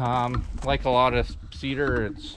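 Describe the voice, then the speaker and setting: Noticeable background noise fills the recording. Over it, a man talks. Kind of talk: casual vlog chat. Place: open country. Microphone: phone near.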